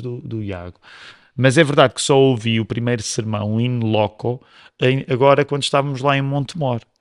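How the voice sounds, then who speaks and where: Against a quiet background, with dry, close sound and no echo, a man talks at a moderate pace and medium pitch in a normal speaking voice. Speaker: pastor. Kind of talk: casual chat.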